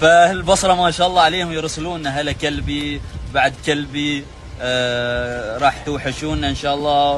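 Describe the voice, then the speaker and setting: A man at fairly high pitch, fairly slow and fairly even in intonation, with noticeable background noise. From Oman. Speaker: Omani man explaining Basra dialect. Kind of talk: casual explanation to camera.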